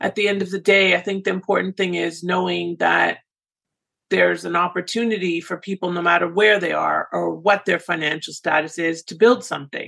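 With vocal fry running through it, a woman's voice has a bright, sharp tone. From Canada. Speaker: podcast host, immigration consultant. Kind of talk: interview.

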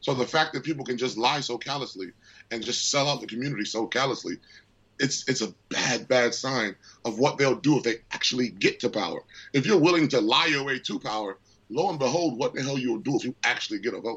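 A man's medium-pitched voice with ordinary pitch variation, a plain, everyday voice. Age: 30s. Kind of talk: interview.

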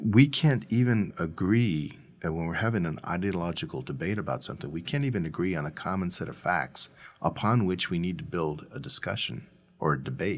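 Very deep and low in pitch with vocal fry, a man with an American accent talks at a moderate pace while his pitch swings very widely. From San Diego, US West Coast. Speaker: public editor, investigative journalist. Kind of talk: interview.

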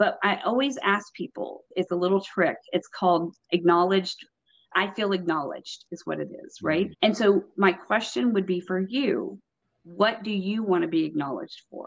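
A woman with an American accent and an unremarkable speaking voice: medium pitch, ordinary pitch variation, moderate pace, big swings in loudness. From Texas. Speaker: property management consultant. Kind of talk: casual interview. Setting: remote call while on vacation.

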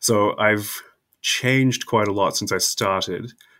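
A man with a New Zealand accent on a very clean recording with a silent background. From New Zealand, South Island. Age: young. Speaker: historian. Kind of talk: interview.

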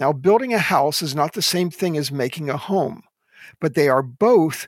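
Dry and close with no echo, a man with an American accent has a plain, everyday voice, fairly high pitch and lively intonation. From US Northeast, Philadelphia suburbs. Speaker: Old Testament scholar and professor. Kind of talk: interview.

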